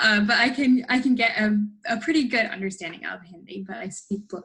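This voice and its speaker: A woman speaks in an ordinary speaking voice at a fairly high pitch. Her pace is moderate and her pitch varies in an ordinary way. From United States, born in India. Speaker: personal trainer and fitness coach. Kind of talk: casual Q&A interview.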